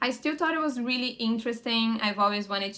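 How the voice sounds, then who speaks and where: The speaker is a woman. She talks with a Portuguese accent. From Brazil. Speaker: lifestyle vlogger. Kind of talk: casual vlog Q&A.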